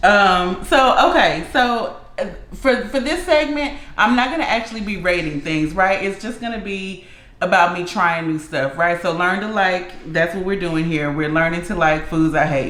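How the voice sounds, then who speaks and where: In a room with audible echo and noticeable background noise, a woman talks at a medium pitch with lively intonation. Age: 30s. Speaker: food vlogger. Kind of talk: casual chat. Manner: slow; halting.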